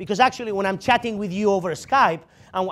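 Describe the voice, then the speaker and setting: Animated and lively in intonation, a man speaks at a very fast pace. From Spain, Barcelona. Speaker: security strategist and conference speaker. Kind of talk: lecture.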